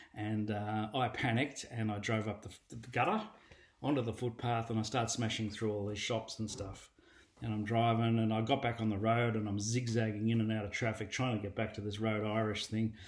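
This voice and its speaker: At a fairly quick pace, a man with an Australian accent talks at medium pitch in a monotone, flat intonation. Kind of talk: personal testimony. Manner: casual, storytelling with fillers.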